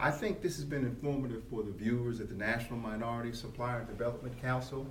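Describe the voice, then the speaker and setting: Amid noticeable background noise, a man talks at a fairly quick pace in a medium pitch. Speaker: podcast host. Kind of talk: interview. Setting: at a business convention. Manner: formal.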